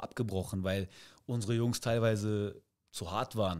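Against a quiet background, a man talks with fairly low pitch and fairly even intonation. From Cologne area, Germany; Germany. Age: 30s. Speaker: amateur football coach. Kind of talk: casual interview. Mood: relaxed storytelling. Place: studio. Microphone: studio mic.

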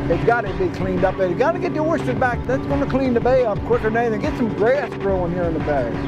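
Amid loud background noise, a man rattles on at a very fast pace with hardly any pauses, the sound dry with no echo. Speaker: waterman, former oyster company worker. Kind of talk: interview answer. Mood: nostalgic, concerned. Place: waterside.

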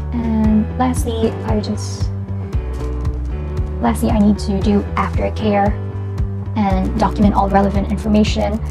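A woman with a very deep, low voice speaks as clear music plays in the background. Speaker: student nurse. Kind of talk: instructional demonstration narration. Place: home room. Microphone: lapel.

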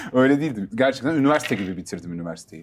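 Over light background noise, a man talks at a very fast pace with a fairly high pitch and very wide pitch swings. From Istanbul, Turkey; Turkey. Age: 30s. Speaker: rapper and music producer; interview guest. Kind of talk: interview. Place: studio. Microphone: lapel.

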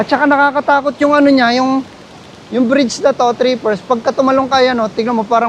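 Background noise is noticeable as a man talks at an extremely high pitch. His pitch variation is ordinary. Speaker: travel vlogger. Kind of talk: vlog narration. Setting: outdoors. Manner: halting; animated.

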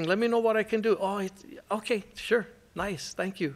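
Here a man with a high voice talks at a moderate pace. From Hawaii. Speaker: caregiving nonprofit director; presenter. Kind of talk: presentation. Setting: stage with audience. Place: hall. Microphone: podium.

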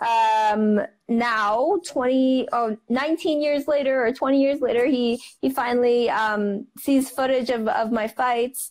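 Against a quiet background, a woman talks at a very slow pace with ordinary pitch variation. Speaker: guest. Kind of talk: interview answer. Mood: warm, animated. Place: home room. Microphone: earbuds.

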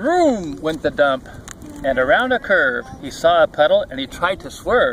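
Faint background noise sits behind a man speaking at a fairly slow pace. His fairly high pitch swings widely. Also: fairly bright tone.

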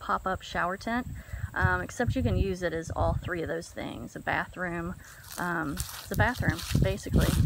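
Over light background noise, a woman with a bright, sharp tone speaks at a fairly slow pace in a dry recording with no echo. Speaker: camper reviewing gear. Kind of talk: casual vlog chat. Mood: upbeat, enthusiastic. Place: waterside. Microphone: phone near.

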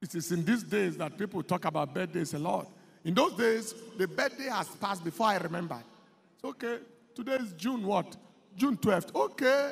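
This is a man speaking at a moderate pace. His intonation is lively. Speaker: pastor. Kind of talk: sermon. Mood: light, humorous anecdote. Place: church. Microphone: handheld.

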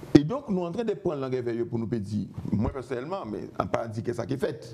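With light background noise, a man talks in very wide pitch swings. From Guadeloupe. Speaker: musician. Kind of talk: TV interview. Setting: TV studio. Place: studio. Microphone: lapel.

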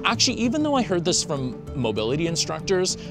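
Music plays in the background as a man speaks in a dry sound with no echo. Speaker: presenter. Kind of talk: tutorial. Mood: cheerful, friendly. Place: street.

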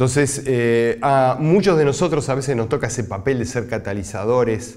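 A man at a fairly slow pace with ordinary pitch variation, quiet background. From Uruguay. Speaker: scientist; university lecturer. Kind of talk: recorded lecture. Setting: pre-recorded presentation, not physically present. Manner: halting, frequent filler sounds. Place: studio.

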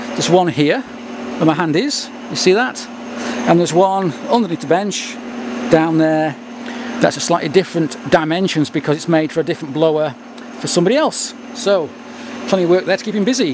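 Noticeable background noise, long and frequent pauses, and a dry sound without any echo. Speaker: presenter. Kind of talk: casual vlog commentary. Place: workshop.

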